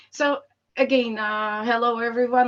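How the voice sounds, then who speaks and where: A woman is speaking. She has a Slovak accent. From Slovakia. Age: 30s. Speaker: employer branding expert. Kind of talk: online presentation. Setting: video call.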